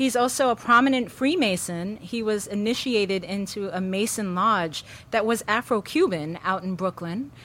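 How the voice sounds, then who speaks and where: A woman with an American accent speaks in a normal speaking voice at a medium pitch and moderate pace, with ordinary pitch variation and hardly any pauses, on a very clean recording with a silent background. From New York City. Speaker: professor. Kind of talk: interview. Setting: studio with live audience.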